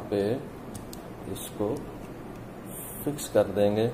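Music plays in the background. A man speaks at a fairly low pitch with fairly even intonation. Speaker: product demonstrator. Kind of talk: tutorial. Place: office.

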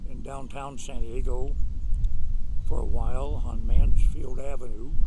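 A man speaks with loud background noise behind him. The sound is dry, with no echo. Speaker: oral history interviewee. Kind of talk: oral history interview, reminiscing. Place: garden.

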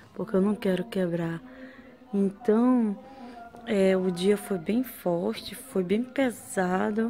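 A woman's pitch varies in an ordinary way against light background noise. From Brazil, Porto Velho, Rondônia (North). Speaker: vlogger. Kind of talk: casual vlog. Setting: outdoors after a run. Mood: tired, recounting hard day.

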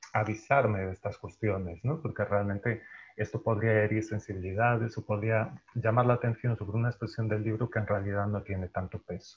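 A man's fairly low voice, fairly even in intonation, at a moderate pace. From Galicia, Spain. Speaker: translator and journalist. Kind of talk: panel discussion. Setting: video call. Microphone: earbuds.

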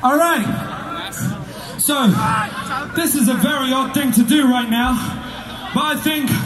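A man speaks at an extremely high pitch and a fairly slow pace, with fairly even intonation and long, frequent pauses. Noticeable background noise runs underneath. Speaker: metal vocalist. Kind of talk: casual stage banter to crowd. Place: stage.

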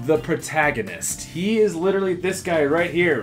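A man with a high voice talks over clear music in the background. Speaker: interview host. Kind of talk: interview questions, casual banter. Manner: casual, jokey. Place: office. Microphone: lapel.

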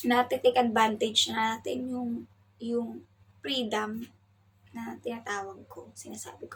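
Loudness swings widely as a woman talks at a fairly slow pace. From Philippines. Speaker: domestic worker vlogger. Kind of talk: casual vlog talk. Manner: raised volume. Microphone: no external mic, may sound quiet.

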